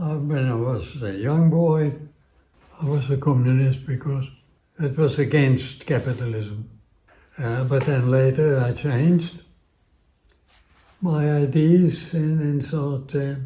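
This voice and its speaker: With a Dutch accent, a man speaks at a very slow pace with long, frequent pauses, his fairly high-pitched voice dark, mellow and somewhat breathy, and his intonation fairly even. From Netherlands, Amsterdam. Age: 80s+. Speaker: centenarian interviewee, community radio presenter. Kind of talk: interview storytelling. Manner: halting, many fillers.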